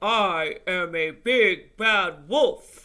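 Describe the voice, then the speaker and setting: A man speaks in a put-on character voice. His pitch sits high for a man. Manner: grumpy, cross.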